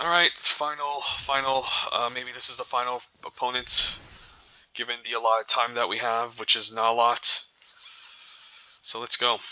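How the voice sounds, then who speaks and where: Mumbling at a moderate pace, a man leaves long, frequent pauses amid noticeable background noise. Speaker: gaming video creator. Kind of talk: gameplay commentary.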